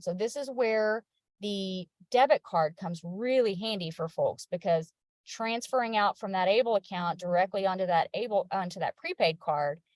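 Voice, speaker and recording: A woman with an unremarkable speaking voice talks at a moderate pace and medium pitch, with ordinary pitch variation and a dry, close sound with no echo. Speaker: state savings program representative. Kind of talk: webinar presentation. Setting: video call.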